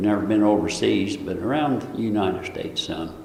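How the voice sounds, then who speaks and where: Amid noticeable background noise and audible room echo, a man with an American accent speaks at a moderate pace with a fairly low pitch. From US Midwest, Marshall, Illinois. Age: 70s. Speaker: local resident interviewee. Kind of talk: oral history interview.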